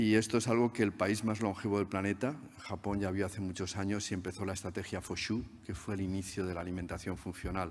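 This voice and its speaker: In a very clean recording with a silent background, a man with a fairly low pitch speaks at a very fast pace with fairly even intonation. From Spain. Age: 60s. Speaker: research scientist. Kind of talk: conference talk.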